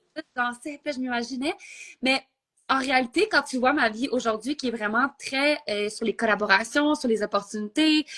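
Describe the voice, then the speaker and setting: With a Quebec accent, a woman speaks at a high pitch and a moderate pace with ordinary pitch variation, and the sound is dry and close, with no echo. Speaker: entrepreneur. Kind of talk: interview. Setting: Instagram live.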